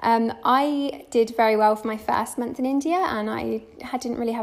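A woman speaks at a moderate pace with a British accent. Her pitch is fairly high and her intonation fairly even. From UK. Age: 20s. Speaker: travel blogger. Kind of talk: interview.

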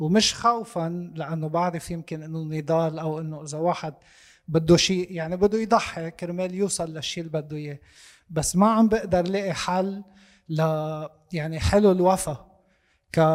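A man with a high voice speaks at a moderate pace, his intonation fairly even. His loudness swings widely, and the recording is very clean with a silent background. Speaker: audience member asking a question. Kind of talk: discussion question.

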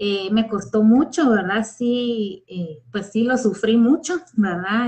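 A woman with a Guatemalan accent speaks very slowly in a somewhat breathy voice, her pitch fairly high with ordinary variation. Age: 40s. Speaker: school principal and teacher. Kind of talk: personal testimony. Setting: online live stream.

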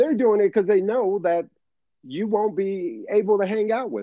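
A man talks at a high pitch. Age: 40s. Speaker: podcast co-host. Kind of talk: casual chat.

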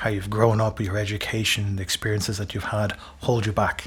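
A man with an Irish accent, fairly low-pitched and somewhat breathy, at a very fast pace. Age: 50s. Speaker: executive communications coach. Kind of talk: interview.

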